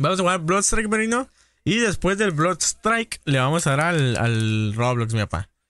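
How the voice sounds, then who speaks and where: With a bright, sharp and animated tone, a man speaks at a fairly high pitch through very wide pitch swings, his loudness very even and the sound dry with no echo. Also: moderate pace. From northern Mexico, Baja California. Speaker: gaming streamer. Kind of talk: casual live-stream chat with gameplay. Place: home room.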